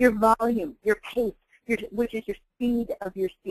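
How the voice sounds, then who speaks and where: In a dry, close sound with no echo, a woman with a normal speaking voice talks at a fairly slow pace and a fairly high pitch. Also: fairly even intonation. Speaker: sales rapport trainer. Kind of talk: casual instructional.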